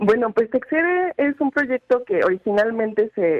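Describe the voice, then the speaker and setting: Her pitch swinging very widely, a woman keeps to a moderate pace. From Mexico, Zacatecas. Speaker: publisher. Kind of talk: interview. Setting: phone call.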